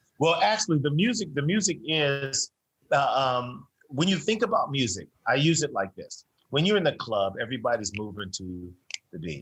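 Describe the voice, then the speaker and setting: With vocal fry and a fairly high pitch, a man talks at a moderate pace, his loudness swinging a lot and his pitch moving over a very wide range. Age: 60s. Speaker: fitness instructor. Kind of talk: interview.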